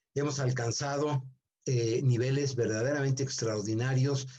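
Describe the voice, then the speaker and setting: A man speaks very slowly at medium pitch with fairly even intonation. His tone is dark and mellow, and somewhat breathy. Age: 70s. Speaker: seminar speaker. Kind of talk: lecture.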